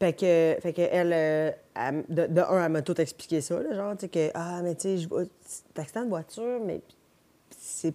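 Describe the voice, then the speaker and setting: A woman's dark, mellow voice at a fairly low pitch, with a moderate pace and ordinary pitch variation. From Quebec (South Shore of Montreal). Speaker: podcast guest. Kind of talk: casual chat.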